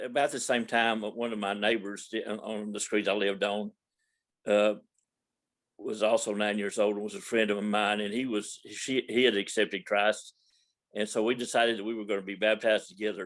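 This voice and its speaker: A man with a Texan accent talks at a moderate pace and fairly low pitch, his intonation monotone and flat against a quiet background. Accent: Texan Southern US. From Texas, Dallas (Oak Cliff). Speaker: church member. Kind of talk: testimony. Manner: halting.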